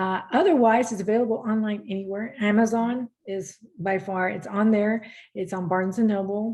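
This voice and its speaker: Fairly even intonation and a moderate pace from a woman at medium pitch. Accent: Spanish. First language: Spanish. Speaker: motivational speaker and coach. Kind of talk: podcast interview.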